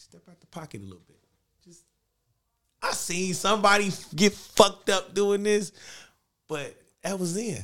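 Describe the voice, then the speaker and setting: An animated tone with long, frequent pauses and big swings in loudness. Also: man, high pitch for a man, moderate pace. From Los Angeles (Watts). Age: 30s. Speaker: music artist. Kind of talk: casual chat.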